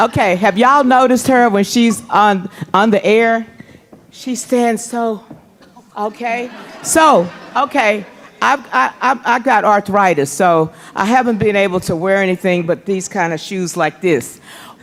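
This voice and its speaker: Over noticeable background noise, a woman with a medium pitch speaks at a fairly slow pace in an animated tone with lively intonation. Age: 60s. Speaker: event organizer. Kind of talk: casual speech to audience. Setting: stage with audience.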